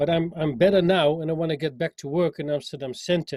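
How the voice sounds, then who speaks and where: Speaking with a strong Dutch accent, a man with a fairly high pitch keeps his intonation fairly even, the sound dry and close with no echo. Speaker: musician, singer and sax player. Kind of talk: interview. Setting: call. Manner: halting, with many repetitions.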